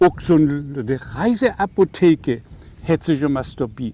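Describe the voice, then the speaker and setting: A man with a dark, mellow tone talks at a very slow pace. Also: dry, close sound with no echo. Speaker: author. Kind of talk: reading aloud.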